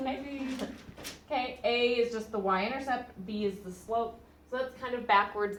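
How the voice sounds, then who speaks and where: A woman speaks with audible room echo. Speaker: math teacher. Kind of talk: classroom lecture. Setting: classroom. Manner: loud; casual.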